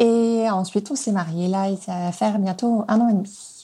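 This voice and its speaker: A woman speaks very slowly in a somewhat breathy voice with a dark, mellow tone. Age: 30s. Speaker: podcast guest sharing her relationship. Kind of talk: personal testimony. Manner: halting, many hesitations.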